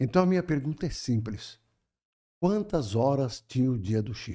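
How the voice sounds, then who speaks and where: A man's dark, mellow voice at a medium pitch, moving at a moderate pace with very wide pitch swings. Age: 70s. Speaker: spiritist speaker. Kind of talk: podcast conversation.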